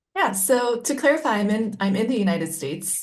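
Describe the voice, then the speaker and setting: A woman speaks with a somewhat breathy voice. Her pace is moderate and her pitch varies in an ordinary way. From Japan. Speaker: concert pianist and arts founder. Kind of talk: panel discussion.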